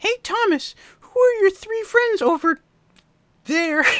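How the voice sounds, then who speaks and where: A man puts on a squeaky character voice, pitched extremely high, and talks at a fairly slow pace. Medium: read story.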